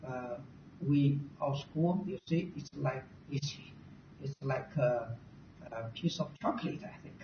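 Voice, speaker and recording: Someone with a non-native accent speaks at a very slow pace, with long, frequent pauses. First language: not English. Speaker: university recruitment presenter. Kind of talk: presentation. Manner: halting.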